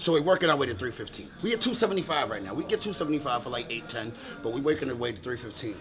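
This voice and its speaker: The speaker is a man at a fairly quick pace. Noticeable background noise runs underneath. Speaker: fitness vlogger. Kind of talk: casual vlog chat. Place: gym. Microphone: camera far.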